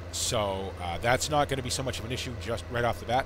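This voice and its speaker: There is noticeable background noise behind a man's voice. He talks at a fairly quick pace with lively intonation. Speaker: gaming YouTuber. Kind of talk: casual gameplay commentary. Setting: home recording, solo, gameplay video. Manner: relaxed, conversational, chatty.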